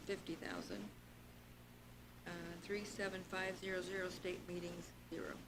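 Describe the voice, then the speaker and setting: Amid noticeable background noise and audible room echo, a woman at medium pitch speaks at a moderate pace in a monotone, flat intonation. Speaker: budget committee member. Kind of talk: public committee meeting.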